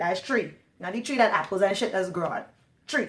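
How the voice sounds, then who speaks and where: A woman speaks with a Trinidadian accent. Her pace is very fast. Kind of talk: casual talk to camera. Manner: chatty, long-winded.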